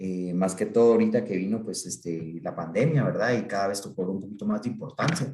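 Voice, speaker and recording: A man with a fairly low pitch. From Guatemala. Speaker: psychiatrist. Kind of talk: talk to an online group. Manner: halting, many fillers.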